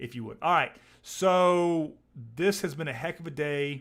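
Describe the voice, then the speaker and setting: A man speaks at a fairly slow pace. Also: very clean recording, silent background. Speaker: stock trading livestream host. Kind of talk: live stream commentary.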